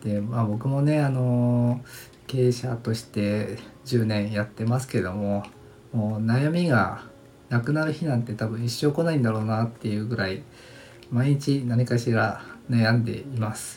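A man speaks somewhat breathily at a fairly slow pace, with ordinary pitch variation. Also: medium pitch for a man. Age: 40s. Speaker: design company owner, podcast host. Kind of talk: solo podcast monologue, self-introduction. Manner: relaxed, laid-back; polite, with many filler words.

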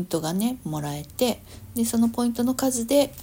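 A woman speaks at a moderate pace in a relaxed, dark, mellow tone that is somewhat breathy, with very wide pitch swings. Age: 50s. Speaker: parenting coach. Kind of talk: casual solo talk. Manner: relaxed, many fillers.

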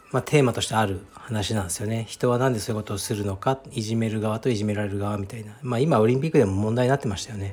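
A man with a fairly low pitch talks at a very fast pace with hardly any pauses. His voice is somewhat breathy, with fairly even intonation. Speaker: Brazilian jiu-jitsu gym founder and podcast host. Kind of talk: casual solo talk.

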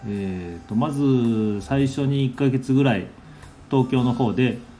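In a room with audible echo, a man speaks very slowly at a medium pitch, his tone dark and mellow and his pitch variation ordinary. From Nagasaki, Japan. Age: 40s. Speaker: cafe owner and podcaster. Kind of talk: casual monologue. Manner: halting, many fillers.

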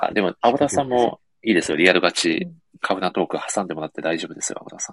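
The recording is dry and close, with no echo. A man with a very deep, low pitch speaks at a very fast pace. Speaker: podcast host. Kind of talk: casual chat. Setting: online live audio stream with earphones.

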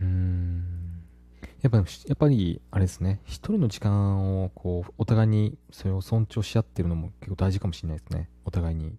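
A man with a very deep, low pitch and a dark, mellow, somewhat breathy tone speaks at a moderate pace with ordinary pitch variation, in a very clean recording with a silent background. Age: 30s. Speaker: married father of a young child. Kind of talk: casual chat.

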